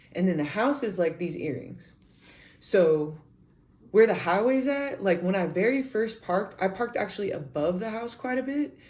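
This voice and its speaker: A loud woman's voice at medium pitch, animated in tone, with very wide pitch swings and a moderate pace. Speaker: podcaster. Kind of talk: casual storytelling.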